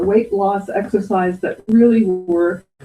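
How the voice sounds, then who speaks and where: Somewhat breathy, a woman speaks at a medium pitch and a fairly slow pace with a dark, mellow tone and ordinary pitch variation. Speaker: presenter. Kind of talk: storytelling talk.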